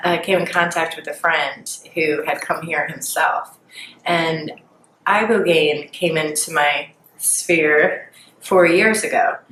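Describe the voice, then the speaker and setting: A woman's fairly low voice with an American accent at a very slow pace, over noticeable background noise. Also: long, frequent pauses. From Philadelphia, Pennsylvania. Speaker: former addiction treatment patient. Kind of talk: interview answer.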